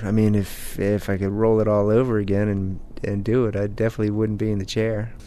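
Amid audible room echo, a man with a fairly low voice talks fairly quickly in a monotone, flat intonation. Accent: American. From Maryland. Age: 40s. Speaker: father who uses a wheelchair. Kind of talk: personal interview.

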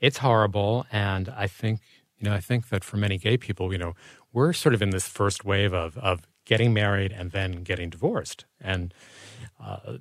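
On a very clean recording with a silent background, a man has a plain, everyday voice, fairly low in pitch, with ordinary pitch variation. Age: 60s. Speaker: author and journalist. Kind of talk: casual interview.

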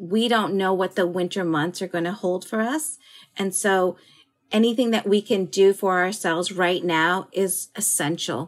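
A woman's plain, everyday voice at medium pitch, with ordinary pitch variation, a moderate pace, and a very clean recording over a silent background. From Philippines-born, raised in US. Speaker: chef and restaurant owner. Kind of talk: interview.

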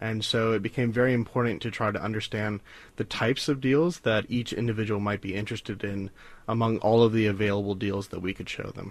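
A normal speaking voice with an American accent moves at a fairly quick pace. The intonation stays fairly even over a quiet background. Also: man. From US South, South Carolina. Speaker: data scientist. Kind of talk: radio interview.

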